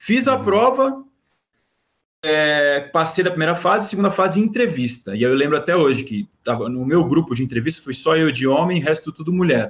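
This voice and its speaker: His pitch leaps across a very wide range. This man's fairly high voice moves at a moderate pace. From Brazil, Santos. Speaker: sports journalist. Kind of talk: casual chat. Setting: live stream.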